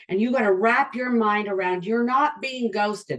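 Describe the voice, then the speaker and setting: Speaking at a moderate pace, a woman uses a fairly high pitch and lively intonation. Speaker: sales and networking trainer. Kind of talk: online training talk. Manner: animated.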